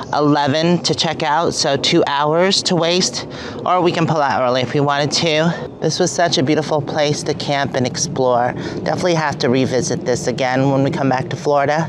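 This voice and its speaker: The speech runs at a moderate pace over noticeable background noise. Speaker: RV travel vlogger. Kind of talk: casual vlog chat. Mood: cheerful, relaxed. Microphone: phone near.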